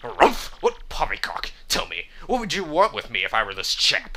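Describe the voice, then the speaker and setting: A man puts on a character voice pitched high. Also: moderate pace. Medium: game stream. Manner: stuffy, formal.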